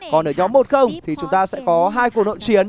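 Lively intonation and a fairly quick pace come through a dry, close sound with no echo, over noticeable background noise. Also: man. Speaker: esports commentator. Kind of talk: live commentary.

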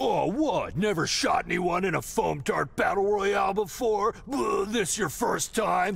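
This cartoonish character voice moves at a fairly slow pace. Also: man, high pitch for a man. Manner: aggressive, shouting, dramatic.

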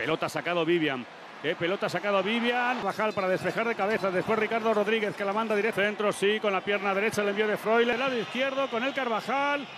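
Against noticeable background noise, a man with a high pitch talks at a very fast pace. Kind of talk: live sports commentary. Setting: stadium broadcast. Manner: fast, excitable, shouting goal calls; rapid-fire play-by-play, breathless.

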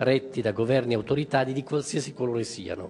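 Light background noise behind a man talking. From Italy. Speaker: member of parliament; speaker, politician. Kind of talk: formal speech. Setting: press conference in parliament. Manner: hesitant, many fillers. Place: hall. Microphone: podium.

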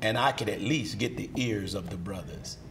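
There is light background noise. A man is speaking. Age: 60s. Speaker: minister. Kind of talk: interview. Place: studio. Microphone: lapel.

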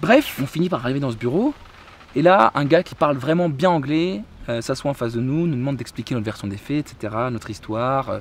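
Over light background noise and in a dry sound with no echo, a man speaks fairly quickly with lively intonation. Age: 20s. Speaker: travel vlogger. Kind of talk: casual storytelling vlog. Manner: halting, many repetitions and fillers. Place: garden. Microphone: phone near.

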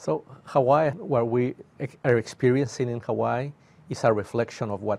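Moving at a moderate pace, a man speaks with ordinary pitch variation. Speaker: university professor guest. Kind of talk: interview answer. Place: studio. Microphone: lapel.

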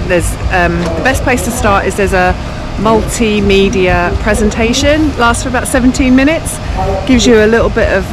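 Clear music is heard behind the speech. The woman talks at a moderate pace. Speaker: travel vlogger. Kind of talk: walking tour commentary. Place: street. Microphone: phone near.

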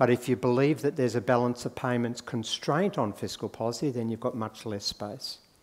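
With an Australian accent, a man speaks at a fairly quick pace and a medium pitch, with ordinary pitch variation and hardly any pauses. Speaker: economist; conference speaker. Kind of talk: conference talk. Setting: stage with audience. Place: hall.

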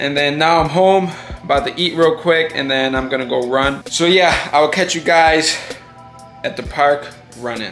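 Faint music plays in the background. A man talks at a moderate pace with ordinary pitch variation. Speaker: amateur boxer vlogger. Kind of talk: casual vlog chat. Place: home room. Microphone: phone near.

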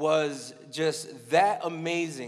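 A man's voice is heard over a quiet background. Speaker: conference keynote speaker. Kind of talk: sermon. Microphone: handheld.

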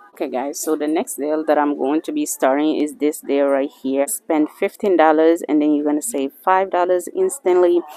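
With a dry sound and no echo, a woman speaks at a moderate pace in a very deep, low voice with ordinary pitch variation. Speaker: couponing vlogger. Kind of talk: casual vlog chat. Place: shop. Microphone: phone near.

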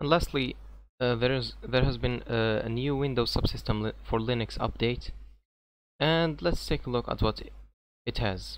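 The speaker has a non-native accent and talks at a moderate pace. Long pauses come often. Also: man. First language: not English. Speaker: tech YouTuber. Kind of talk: tech news video. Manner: halting.

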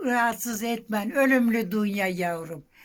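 Very slowly, a woman speaks at a fairly high pitch with lively intonation. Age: 80s+. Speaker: village elder. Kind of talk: interview answer.

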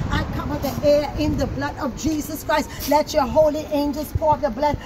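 A woman speaks at a moderate pace in a high pitch. Crowd noise can be heard behind her. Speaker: prayer leader. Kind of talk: fervent intercessory prayer, spiritual warfare style. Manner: fervent, emphatic, pleading, rising in intensity as commanding declarations. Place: street. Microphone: camera far.

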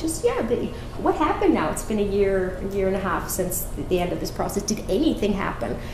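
Lively intonation at a fairly quick pace, with faint music in the background. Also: woman. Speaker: climate policy researcher and professor; conference presenter. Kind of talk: conference talk. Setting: conference room with audience. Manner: fast talker. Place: hall.

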